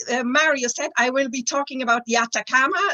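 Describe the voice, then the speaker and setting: Noticeable background noise surrounds the speaker. A woman with a German accent talks in a high pitch. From Germany. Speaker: planetary scientist. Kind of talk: presentation.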